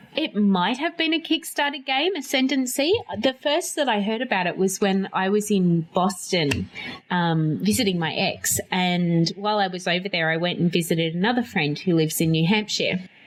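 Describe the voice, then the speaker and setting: A woman with an Australian accent at a moderate pace, with very wide pitch swings and noticeable background noise. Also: medium pitch for a woman. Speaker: board game podcast host. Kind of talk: casual chat. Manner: animated.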